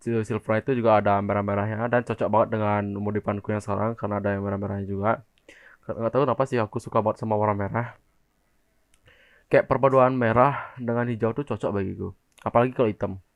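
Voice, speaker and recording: A man rattles off words at a very fast pace in a fairly low, monotone, flat voice. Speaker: motovlogger. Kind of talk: casual vlog, unboxing review.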